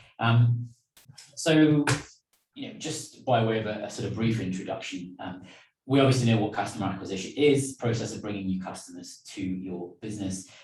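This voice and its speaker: Audible room echo surrounds a man with a British accent and a medium pitch as he speaks at a moderate pace with big swings in loudness and ordinary pitch variation. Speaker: business trainer. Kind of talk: online lecture. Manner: hesitant, many fillers.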